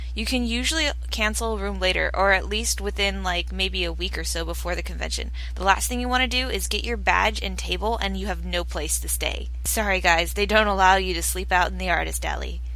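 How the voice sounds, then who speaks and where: A woman speaks at a fairly quick pace with hardly any pauses. Her very deep, low voice is bright and sharp, in a flat monotone. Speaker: artist giving convention advice. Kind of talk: tutorial. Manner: fast.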